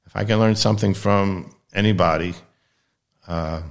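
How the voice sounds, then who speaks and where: In an American accent, a man with an ordinary speaking voice talks at a fairly low pitch with fairly even intonation, on a very clean recording with a silent background. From US East Coast, Baltimore, Maryland. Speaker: anesthesiologist. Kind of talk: casual interview conversation.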